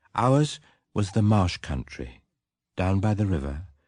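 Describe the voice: The plain reading aloud has lively intonation over a quiet background.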